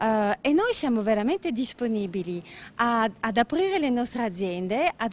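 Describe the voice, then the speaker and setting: Speech unfolds at a moderate pace, and the sound is dry and close, with no echo. Its pitch swings very widely. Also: woman. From Belgium, Brussels. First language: French (speaking Italian). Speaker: business owner. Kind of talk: interview. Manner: halting.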